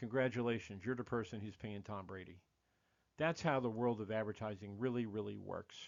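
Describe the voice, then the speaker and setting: In a plain, everyday voice, a man with an American accent talks at a fairly quick pace, with fairly low pitch and fairly even intonation. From United States. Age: 60s. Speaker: podcast host. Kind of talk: monologue podcast commentary.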